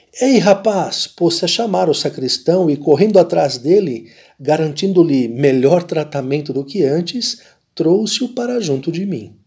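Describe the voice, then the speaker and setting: An animated, angry tone with lively intonation. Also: man, high pitch for a man, fairly slow pace. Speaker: priest reading narration. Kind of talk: dramatic narration. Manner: animated, voicing the priest and the angry sacristan with emphasis.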